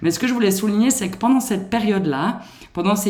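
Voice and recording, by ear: A woman speaks with ordinary pitch variation, a slightly mellow tone, and a slight Swiss French accent.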